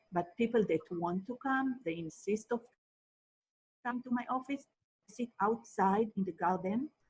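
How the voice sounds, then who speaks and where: A somewhat breathy woman with an Israeli accent and a fairly high pitch, leaving long, frequent pauses. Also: ordinary pitch variation, fairly slow pace. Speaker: marriage and family therapist. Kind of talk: interview.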